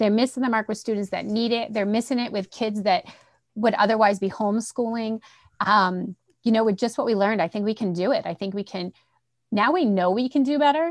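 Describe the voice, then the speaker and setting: A woman's fairly high voice with a slight Boston accent, ordinary pitch variation and a fairly quick pace, dry and close with no echo, over a quiet background. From Central Massachusetts. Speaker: school administrator, former principal. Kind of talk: casual interview.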